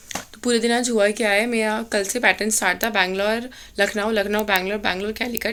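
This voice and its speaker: This woman's voice sits at a medium pitch with monotone, flat intonation. Her pace is moderate. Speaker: cabin crew vlogger. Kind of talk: casual vlog. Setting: at home. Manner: code-mixing Hindi and English.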